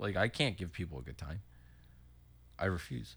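On a very clean recording with a silent background, a man talks at a very fast pace in a bright, sharp tone with vocal fry. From Philadelphia suburbs (Willow Grove/Horsham, PA). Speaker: musician. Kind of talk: casual chat.

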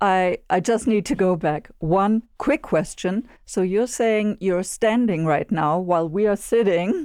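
A woman's normal speaking voice, medium in pitch with ordinary pitch variation, at a fairly slow pace with hardly any pauses and very even loudness over a quiet background. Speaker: podcast co-host interviewer. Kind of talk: interview, guest introduction.

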